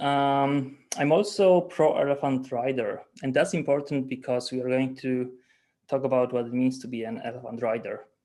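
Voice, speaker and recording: Dark and mellow in tone, the voice carries a Polish accent and ordinary pitch variation. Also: man, medium pitch for a man, moderate pace. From Poland. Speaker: agile coach. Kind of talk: webinar talk. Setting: video call. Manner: halting.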